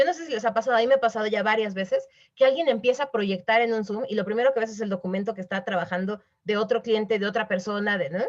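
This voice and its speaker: A woman talks at a very fast pace in a fairly high pitch. Her tone is animated, with ordinary pitch variation. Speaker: webinar speaker on corporate responsibility. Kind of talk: webinar talk.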